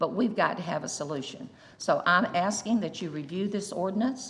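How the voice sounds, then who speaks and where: A somewhat breathy woman with a Southern US accent, fairly low pitch, lively intonation, a moderate pace and audible room echo. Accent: Southern US (Georgia). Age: 70s. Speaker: local store owner at public comment. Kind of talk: public comment at council meeting. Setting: city council chamber.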